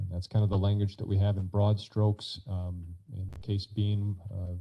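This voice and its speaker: Somewhat breathy man's voice, fairly low in pitch, with monotone, flat intonation at a moderate pace. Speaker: county administrator. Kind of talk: committee meeting presentation.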